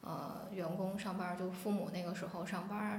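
Amid noticeable background noise and audible room echo, a woman speaks at a medium pitch and moderate pace with monotone, flat intonation. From Jinzhou, Liaoning, northeast China. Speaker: podcast guest, new mother. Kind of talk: casual chat.

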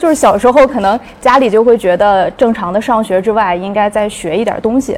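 A woman with an unremarkable speaking voice talks at a fairly quick pace, her fairly high pitch showing ordinary variation. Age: young. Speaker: academic partnerships staff. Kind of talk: casual chat.

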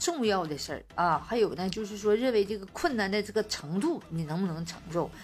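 Over music in the background, a woman with a Northeastern Chinese accent speaks at a moderate pace in a medium pitch, her tone animated and her intonation lively. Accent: Northeastern Mandarin. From Northeast China. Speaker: podcast host. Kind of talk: casual chat. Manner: animated, frequent laughter.

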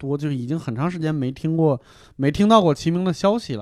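A man with an unremarkable speaking voice talks at a fairly quick pace, fairly high in pitch with lively intonation. The recording is very clean, with a silent background. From Hebei. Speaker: comedian. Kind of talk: casual chat.

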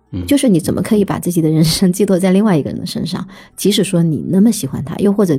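A woman talks at a very fast pace in a medium pitch, her tone dark and mellow. Vocal fry runs through her speech. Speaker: writer. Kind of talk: casual chat.

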